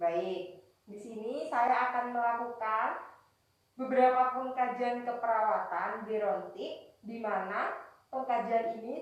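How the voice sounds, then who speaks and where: A woman with a fairly high pitch speaks at a very slow pace and fairly even intonation, with big swings in loudness and audible room echo. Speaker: nursing student. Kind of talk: scripted introduction; role-played nursing assessment interview.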